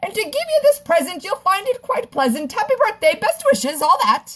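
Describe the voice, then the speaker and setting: A squeaky, put-on character voice from a woman, extremely high in pitch with very wide pitch swings, at a fairly quick pace. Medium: read story. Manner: breezy, posh.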